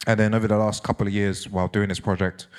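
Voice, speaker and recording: Very deep and low, a man's voice in a London accent races at a very fast pace with monotone, flat intonation. The recording is very clean, with a silent background. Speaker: DJ and author giving a talk. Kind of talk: public talk.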